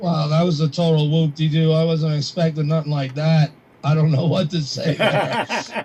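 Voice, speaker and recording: Over noticeable background noise, a man speaks at a fairly high pitch and moderate pace, with monotone, flat intonation and very even loudness. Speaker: radio host calling in. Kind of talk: call-in to psychic reading. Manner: halting.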